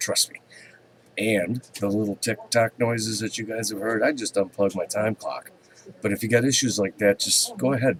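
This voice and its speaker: Recorded with a dry, close sound and no echo but noticeable background noise, a man speaks at a moderate pace. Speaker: commodities market commentator. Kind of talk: market commentary webcast. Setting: open office with others nearby. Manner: halting, many fillers.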